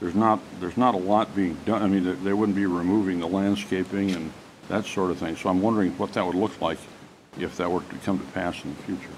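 A man's very deep, low voice at a very fast pace, with fairly even intonation and light background noise. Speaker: village trustee. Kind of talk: public meeting. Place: hall.

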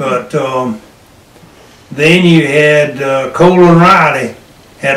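In a North Carolina accent, a man speaks at a fairly high pitch and a very slow pace, with fairly even intonation. Audible room echo surrounds his voice. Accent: Southern American (North Carolina). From Hillsborough, North Carolina. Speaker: World War II Navy veteran, retired farmer. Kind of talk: interview answer. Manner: hesitant, searching for words. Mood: relaxed reminiscing. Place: home room. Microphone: camera far.

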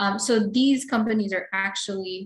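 A woman talks at a moderate pace in a somewhat breathy voice of medium pitch. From Philippines. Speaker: computer engineering researcher and lecturer; presenter. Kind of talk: technical lecture; lecture. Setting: webinar video call. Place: home room. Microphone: webcam.

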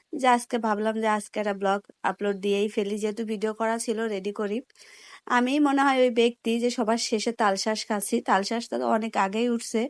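In a very clean recording with a silent background and a dry, close sound free of echo, a woman speaks at a fairly high pitch in a flat monotone. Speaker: lifestyle vlogger. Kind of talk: vlog narration.

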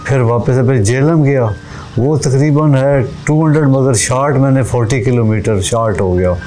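A man's voice at very even loudness, with ordinary pitch variation and music in the background. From Khushab district, Punjab, Pakistan. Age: 60s. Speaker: interviewee, political supporter. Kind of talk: interview answer. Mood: earnest, emotional devotion. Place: open country. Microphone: lapel.

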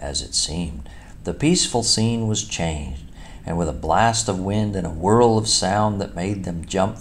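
The speaker reads in an unforced reading voice with ordinary pitch variation.

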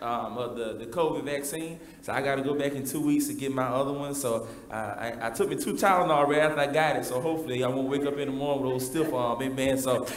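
There is audible room echo around a man talking at a very fast pace. His intonation stays fairly even. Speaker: preacher. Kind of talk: sermon. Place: church.

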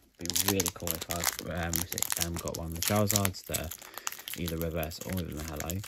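The speech moves at a moderate pace. Loud background noise sits under a dry sound with no echo. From UK. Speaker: YouTuber opening trading card packs. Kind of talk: casual vlog narration. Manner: hesitant, many fillers. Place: home room. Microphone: phone near.

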